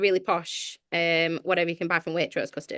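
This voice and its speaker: With a slight Sheffield accent, a woman speaks in a bright, sharp tone, the sound dry and close with no echo over a quiet background. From northern England, Sheffield. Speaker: church leader and author. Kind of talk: podcast interview.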